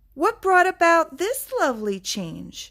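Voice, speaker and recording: A woman's put-on character voice, extremely high in pitch with very wide swings, at a fairly slow pace. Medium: read story. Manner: gentle, kindly.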